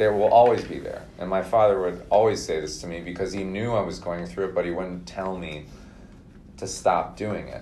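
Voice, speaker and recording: A man speaks with an American accent in a very deep, low pitch and a dark, mellow tone. His loudness swings widely. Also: ordinary pitch variation, moderate pace. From Minnesota. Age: 30s. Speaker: podcast guest. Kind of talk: casual interview.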